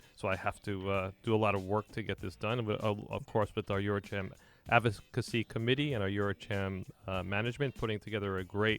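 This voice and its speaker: In a New York accent, a man talks at a very fast pace, fairly low in pitch and with fairly even intonation. The recording is very clean and dry, with a close sound, no echo and a silent background. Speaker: radio host. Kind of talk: radio talk show interview.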